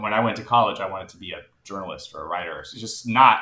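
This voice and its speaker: Talking at a very fast pace, a man with an American accent keeps a medium pitch. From United States. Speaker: singer-songwriter. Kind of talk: casual chat.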